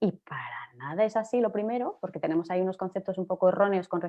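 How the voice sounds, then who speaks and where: A woman talks at a very fast pace. She has a Castilian accent. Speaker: journalist and digital transformation consultant. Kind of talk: panel discussion. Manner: animated.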